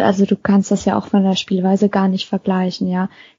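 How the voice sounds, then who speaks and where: There is a somewhat breathy quality to the voice. Its intonation stays monotone and flat. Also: woman. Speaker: football fan podcast co-host. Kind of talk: casual chat.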